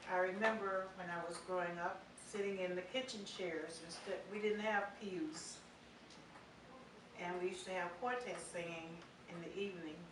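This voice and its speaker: A woman with an American accent talks at a moderate pace and medium pitch, with long, frequent pauses. Noticeable background noise and audible room echo are present. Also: ordinary pitch variation. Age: 70s. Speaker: church member. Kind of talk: testimony. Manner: halting.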